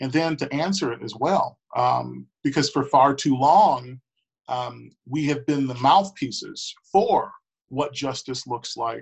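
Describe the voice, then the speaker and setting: A man in an American accent speaks at a very slow pace with ordinary pitch variation. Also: fairly high pitch for a man. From Milwaukee, Wisconsin, US Midwest. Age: 20s. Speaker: school board member. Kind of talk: interview.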